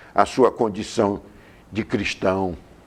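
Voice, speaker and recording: Intonation stays fairly even as a man talks very slowly. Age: 70s. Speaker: politician. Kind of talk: TV interview. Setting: TV studio.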